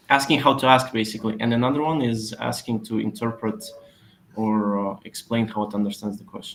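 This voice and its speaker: With noticeable background noise, a man in a Polish accent speaks at medium pitch and a fairly quick pace with fairly even intonation. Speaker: SEO expert. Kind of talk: webinar Q&A answer. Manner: hesitant with fillers.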